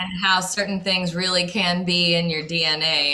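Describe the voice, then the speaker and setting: A woman with a fairly low pitch and a bright, sharp tone speaks at a moderate pace. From New Orleans area, Louisiana (Slidell). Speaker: singer. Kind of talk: radio interview. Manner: hesitant, with filler words.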